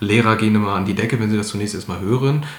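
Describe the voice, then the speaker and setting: A man with a fairly low pitch talks in fairly even intonation over noticeable background noise, with audible room echo. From Germany, Ratingen (North Rhine-Westphalia). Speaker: author. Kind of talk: interview. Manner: halting, many fillers.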